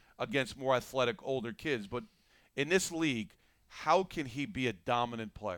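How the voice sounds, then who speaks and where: This man has a plain, everyday voice, medium in pitch, with lively intonation at a moderate pace, on a very clean recording with a silent background. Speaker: basketball analyst and former player. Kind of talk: casual podcast chat.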